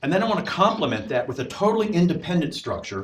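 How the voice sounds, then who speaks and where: A man, loud, talking at a very fast pace. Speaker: professor. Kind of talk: lecture. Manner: halting.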